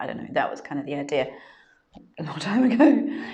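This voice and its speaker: With a fairly quick delivery, a woman talks through noticeable background noise and audible room echo. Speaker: yoga teacher trainer. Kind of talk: live stream talk. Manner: hesitant, many fillers.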